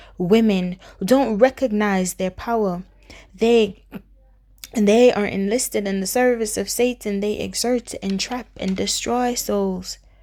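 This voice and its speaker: The speech comes at a very slow pace with fairly even intonation. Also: woman. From Jamaica. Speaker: spoken word poet. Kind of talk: spoken word poetry performance.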